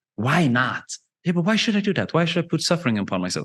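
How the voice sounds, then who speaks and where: This man's voice has vocal fry and very wide pitch swings. The background is quiet. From Sweden. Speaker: wellness coach. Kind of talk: podcast interview. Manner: animated.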